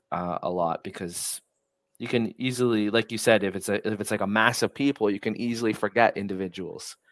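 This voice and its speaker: Fairly low in pitch, a man speaks fairly quickly with fairly even intonation. The recording is very clean with a silent background and a dry, close sound with no echo. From US, New York. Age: 30s. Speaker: podcast host. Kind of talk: casual conversation. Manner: halting, many fillers and restarts.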